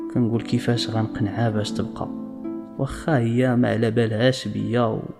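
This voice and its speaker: Music plays behind a man whose intonation stays fairly even. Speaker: storyteller. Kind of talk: first-person story narration.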